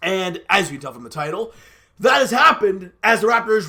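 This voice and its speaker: A man with a high pitch raises and projects his voice, his intonation lively. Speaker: sports commentary youtuber. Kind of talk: casual sports commentary monologue.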